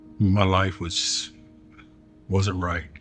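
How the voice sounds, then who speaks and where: Someone speaks with an American accent while music plays in the background. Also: man. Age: 60s. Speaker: military veteran in recovery program. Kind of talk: testimony. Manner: halting, repetitive.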